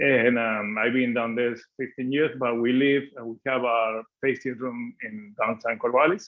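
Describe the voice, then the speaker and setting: With an Argentine accent, a man of medium pitch talks at a moderate pace with ordinary pitch variation. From Argentina (Mendoza). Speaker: winemaker. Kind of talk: guided wine tasting presentation. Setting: video call.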